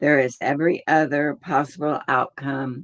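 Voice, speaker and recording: A woman's very deep, low voice at a fairly slow pace. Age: 80s+. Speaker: meditation teacher. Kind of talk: casual talk before guided meditation; guided meditation.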